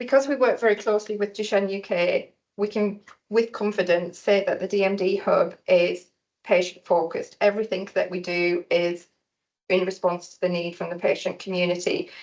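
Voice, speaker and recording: The speaker has a northern English accent and fairly even intonation. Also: woman, medium pitch for a woman, moderate pace. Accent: noticeable non-local accent, northern English. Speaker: research centre staff speaking for a patient-focused partnership. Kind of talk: conference presentation. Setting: hospital conference room with audience.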